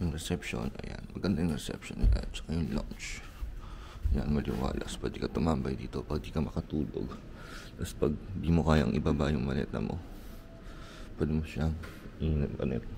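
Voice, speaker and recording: Soft-spoken and very deep in pitch, a man talks at a fairly quick pace with ordinary pitch variation and long, frequent pauses, amid audible room echo and noticeable background noise. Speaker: travel vlogger. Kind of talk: casual vlog hotel tour. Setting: hotel room and hallway in Osaka. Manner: soft-spoken, quiet because others sleeping.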